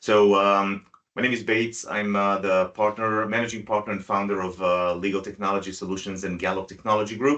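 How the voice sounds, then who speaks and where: A man speaks at a fairly quick pace with hardly any pauses. His intonation is monotone and flat. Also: fairly low pitch for a man. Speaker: IT company owner presenting webinar. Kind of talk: tutorial webinar. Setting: video call webinar with screen sharing. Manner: fast.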